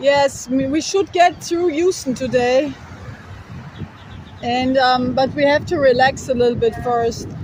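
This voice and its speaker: A woman shouts loudly at a high pitch with ordinary pitch variation. She speaks at a fairly slow pace with long, frequent pauses over noticeable background noise. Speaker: travel vlogger, hitchhiker. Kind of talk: casual vlog chat. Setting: outdoors by a highway. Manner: loud, yelling over wind.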